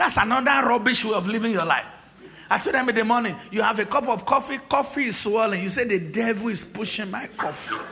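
Over noticeable background noise, a man with a high pitch speaks in a raised, projected voice at a very fast pace, animated in tone with ordinary pitch variation. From Nigeria. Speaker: pastor. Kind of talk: sermon. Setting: church.

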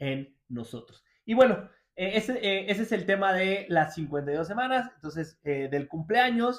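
Lively intonation marks this man's speech at a fairly slow pace. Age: 30s. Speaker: motivational speaker and podcast host. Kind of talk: personal monologue. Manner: halting, with pauses.

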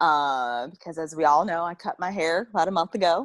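A plain, everyday voice with ordinary pitch variation in a very clean recording, silent background. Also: woman. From US South. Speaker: podcast co-host. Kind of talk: casual chat.

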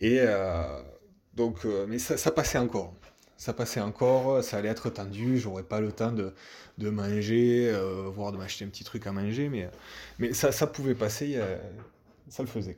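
The speech moves at a fairly slow pace with long, frequent pauses. Loudness swings widely, and the tone is dark and mellow. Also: man, fairly low pitch for a man, ordinary pitch variation. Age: 20s. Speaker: traveller sharing a story. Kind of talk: personal storytelling. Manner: halting, many repetitions.

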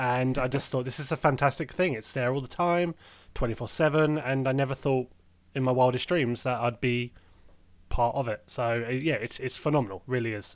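Here a man talks at a fairly quick pace in a plain, everyday voice. His medium pitch holds fairly even intonation. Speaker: podcast co-host. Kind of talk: casual chat. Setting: video call.

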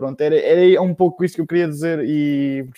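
The voice has a dark, mellow tone, moving at a moderate pace with ordinary pitch variation. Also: man. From Portugal, Bombarral (Oeste region). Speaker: pharmacist. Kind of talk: casual chat.

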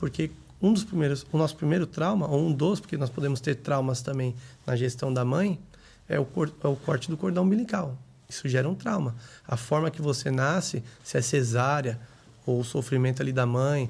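In a very clean recording with a silent background, a man speaks at a moderate pace, somewhat breathy, at medium pitch with ordinary pitch variation. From São Paulo metro area, Brazil. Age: 30s. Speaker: entrepreneur. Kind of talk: casual interview.

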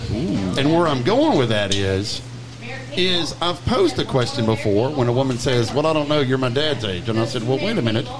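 A man with a Louisiana accent speaks at a moderate pace and a medium pitch, with lively intonation and very even loudness. The recording has audible room echo and noticeable background noise. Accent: Louisiana Southern. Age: 40s. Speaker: podcast host. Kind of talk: casual chat.

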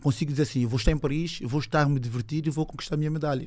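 At a very fast pace, a man speaks with a somewhat breathy, dark, mellow tone and a fairly high pitch. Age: 20s. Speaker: judo athlete. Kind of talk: casual chat.

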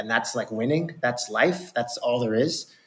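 Medium pitch and ordinary pitch variation from a man with an ordinary speaking voice. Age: 30s. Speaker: private equity fund founder and investor. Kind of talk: casual chat.

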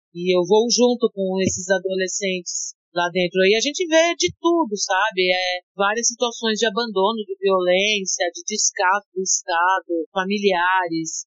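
A woman speaks at a medium pitch and a fairly slow pace in a plain, everyday voice, with hardly any pauses. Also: ordinary pitch variation. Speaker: rapper and art educator. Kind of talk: interview.

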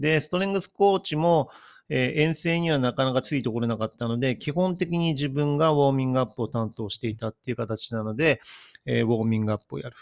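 A man talks very fast at a medium pitch with lively intonation. The recording is very clean with a silent background and a dry, close sound with no echo. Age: 50s. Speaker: athletic trainer podcaster. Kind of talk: solo podcast monologue.

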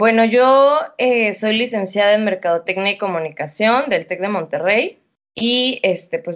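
A woman with a Mexican accent speaks fairly slowly at medium pitch, her pitch varying in an ordinary way. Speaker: entrepreneur. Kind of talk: casual interview.

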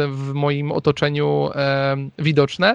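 A man talks at a fairly slow pace with a Polish accent and a fairly high pitch. The sound is dry and close, with no echo. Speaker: YouTube watch reviewer and front-end developer. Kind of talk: casual interview conversation. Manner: hesitant, repeats words, filler words.

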